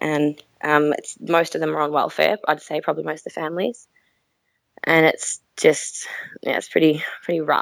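A woman speaks at a moderate pace. Her pauses are long and frequent. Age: 20s. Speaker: school teacher. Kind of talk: call-in conversation.

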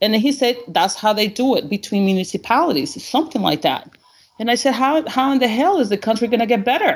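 Her intonation is lively and her pitch high as a woman speaks at a fairly quick pace. She has a Spanish accent. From Honduras. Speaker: caller. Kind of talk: call-in discussion. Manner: animated.

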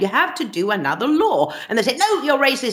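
A woman with a Swedish accent speaks at a moderate pace, her pitch swinging very widely. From Sweden. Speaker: journalist. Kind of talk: interview.

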